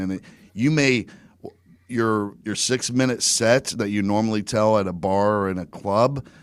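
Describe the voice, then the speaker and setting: With an American accent, a man speaks in an ordinary speaking voice at a fairly low pitch and moderate pace with fairly even intonation, in a very clean recording with a silent background. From US, Virginia Beach. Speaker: stand-up comedian and podcaster, former state trooper. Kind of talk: casual podcast interview.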